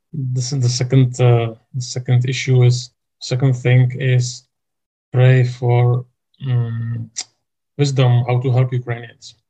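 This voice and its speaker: A dark, mellow, somewhat breathy voice with a Czech accent, monotone, flat intonation, a very slow pace and long, frequent pauses. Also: man, medium pitch for a man. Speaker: church denomination leader. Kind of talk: interview. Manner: halting.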